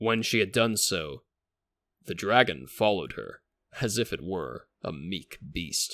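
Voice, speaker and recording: A man's fairly low, solemn voice with vocal fry, lively intonation and a fairly slow pace. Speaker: podcast host. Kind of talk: scripted narration of saints' history, with a legend read aloud in archaic prose. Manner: formal, measured, storytelling tone; solemn and epic in the legend passage; reverent, earnest.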